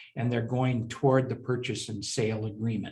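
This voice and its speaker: A man talks at a medium pitch with fairly even intonation. His voice is somewhat breathy. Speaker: securities attorney and former syndicator. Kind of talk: interview.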